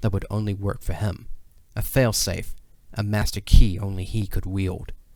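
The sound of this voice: Here is an unforced reading voice.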